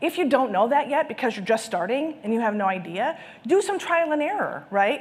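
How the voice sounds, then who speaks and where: A woman sounds enthusiastic, her voice making very wide pitch swings. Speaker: conference speaker on sales and marketing. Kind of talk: conference presentation. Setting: stage with live and virtual audience. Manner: fast.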